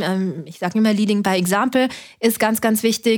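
A woman speaks with a fairly high pitch. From Austria (Linz). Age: 30s. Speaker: startup founder and physician. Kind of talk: interview conversation.

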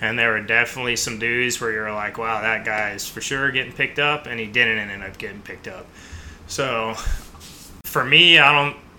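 A plain, everyday voice from a man, medium in pitch, with fairly even intonation at a moderate pace. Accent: American. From US Midwest, mostly Chicago. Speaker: military pararescue operator. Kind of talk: interview.

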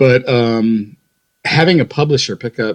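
This man, speaking with an Ohio accent at a moderate pace, has a medium-pitched voice that swings very widely in pitch. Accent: Midwestern American (Ohio). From Ohio, west side of Cleveland. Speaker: author. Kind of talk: interview.

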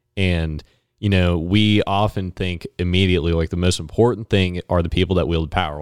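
A man's very deep, low voice with an American accent, fairly quick, with ordinary pitch variation, dry and close with no echo, on a very clean recording with a silent background. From West Virginia tri-state area. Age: 20s. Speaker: college student and local party activist. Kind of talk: casual chat.

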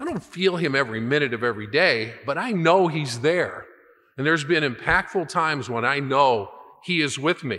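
A man's fairly high, bright and sharp voice with lively intonation at a moderate pace, on a very clean recording with a silent background. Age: 60s. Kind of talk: sermon.

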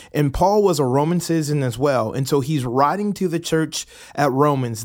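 With an American accent, a man talks in a normal speaking voice at a fairly high pitch with ordinary pitch variation. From US South, Atlanta, Georgia. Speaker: pastor. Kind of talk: bible reading with commentary.

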